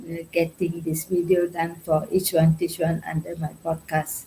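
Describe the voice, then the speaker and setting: Somewhat breathy and dark, mellow in tone, a woman speaks at a fairly low pitch and a fairly slow pace. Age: 60s. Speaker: summit panelist, retiree. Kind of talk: panel discussion.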